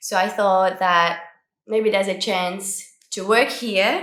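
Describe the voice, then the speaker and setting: With audible room echo around her, a woman talks at a fairly slow pace with fairly even intonation. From Brazil, then Australia from age 12. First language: Portuguese. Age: 20s. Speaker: model and vlogger. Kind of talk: casual Q&A vlog.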